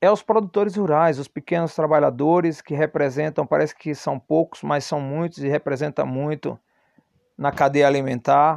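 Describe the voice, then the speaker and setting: The recording is dry and close with no echo and a quiet background, as a man speaks at a moderate pace in a fairly high pitch. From Brazilian Northeast. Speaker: podcaster. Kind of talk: personal monologue. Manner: halting, many fillers.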